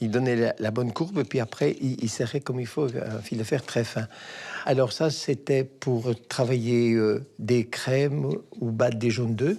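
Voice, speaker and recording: A man's dark, mellow voice at medium pitch, fairly slow in pace with ordinary pitch variation, on a very clean recording with a silent background. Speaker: retired pastry chef. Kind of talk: documentary interview.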